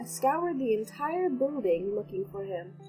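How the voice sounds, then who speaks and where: Music plays in the background as a woman talks at a fairly slow pace. Her fairly high pitch moves in very wide swings. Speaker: amateur story narrator. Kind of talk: read story.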